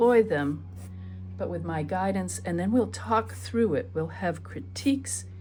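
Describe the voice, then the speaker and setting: Music plays in the background and the room echo is audible as a woman speaks with ordinary pitch variation. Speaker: art teacher. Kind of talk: painting tutorial. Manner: soft-spoken while thinking.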